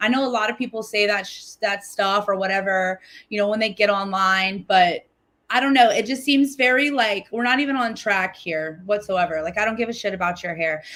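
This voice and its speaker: This woman's voice is animated, bright and sharp, at medium pitch with ordinary pitch variation. She speaks at a fairly quick pace on a very clean recording with a silent background. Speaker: livestream commentator reacting to a video. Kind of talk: reaction commentary on livestream. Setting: livestream.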